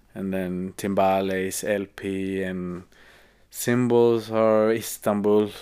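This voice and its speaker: A man in a Swedish accent, flat and monotone, dark and mellow, very slow in delivery, on a very clean recording with a silent background. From Sweden. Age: 30s. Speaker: musician. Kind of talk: casual chat. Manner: halting.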